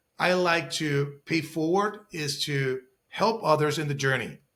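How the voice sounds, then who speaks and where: A man's fairly high voice with a non-native accent. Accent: foreign. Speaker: real estate investor. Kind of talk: interview.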